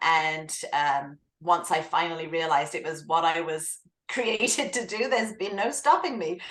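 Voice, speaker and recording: A woman speaks with an English accent at a fairly low pitch. Her intonation is lively and her pace moderate. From southern England. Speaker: author and writing coach. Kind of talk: interview.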